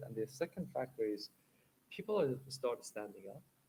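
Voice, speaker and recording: A somewhat breathy male voice comes through. He talks at a fairly quick pace. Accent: Iranian. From Iran. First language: Persian. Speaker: accessibility technology developer. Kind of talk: panel discussion.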